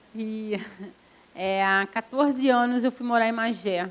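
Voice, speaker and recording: Speaking fairly slowly, a woman shows ordinary pitch variation. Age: 50s. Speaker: fishing association leader and activist. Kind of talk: panel talk. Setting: university event with audience.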